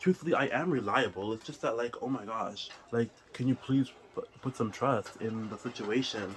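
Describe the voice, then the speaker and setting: Noticeable background noise accompanies a man at medium pitch with a non-native accent and ordinary pitch variation. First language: not English. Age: 20s. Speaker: vlogger. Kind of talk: casual chat. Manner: fast, filler-heavy talk.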